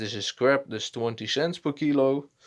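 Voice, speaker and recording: A man talks with a Dutch accent. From Netherlands. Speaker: hobbyist video maker. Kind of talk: casual tutorial. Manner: halting, many fillers.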